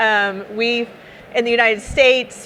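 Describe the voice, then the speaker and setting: Speaking with an American accent, a woman has a bright, sharp tone. Her intonation stays monotone and flat. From Texas. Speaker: startup founder and speaker. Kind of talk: conference talk. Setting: stage with audience. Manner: casual, conversational.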